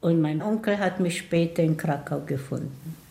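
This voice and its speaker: Her pitch fairly low, a woman speaks at a fairly slow pace in a dark, mellow, somewhat breathy tone. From Poland (Tomaszów near Łódź), later Israel. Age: 80s+. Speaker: Holocaust survivor. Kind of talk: testimony.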